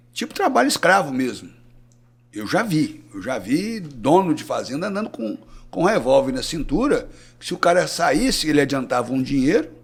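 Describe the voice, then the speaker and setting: Marked by vocal fry, the voice moves at a moderate pace with very wide pitch swings and big swings in loudness. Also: man, fairly high pitch for a man. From Brazil, southern Minas Gerais. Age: 60s. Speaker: cattle rancher and veterinarian. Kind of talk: podcast interview.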